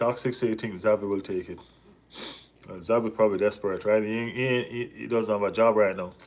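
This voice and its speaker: Animated and with a Jamaican accent, a man talks at a fairly quick pace at medium pitch, leaving long, frequent pauses while his loudness swings widely. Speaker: football vlogger. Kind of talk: live stream chat.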